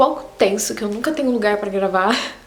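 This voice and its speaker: A woman with a medium-pitched voice speaks at a fairly quick pace. Music plays behind her, and room echo can be heard. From Brazil, São Paulo state interior (Taubaté). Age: 20s. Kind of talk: casual vlog talk to camera. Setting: filming on a tripod on a bed.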